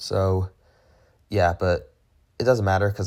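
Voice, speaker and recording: A man speaks at a moderate pace in a fairly low, somewhat breathy voice with fairly even intonation. The recording is very clean with a silent background. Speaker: gaming commentator. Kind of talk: gameplay commentary. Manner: casual, hesitant with fillers.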